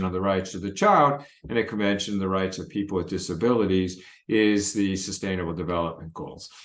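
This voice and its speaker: The man has an American accent. His voice carries audible room echo. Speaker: pediatrics professor. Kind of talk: recorded lecture presentation.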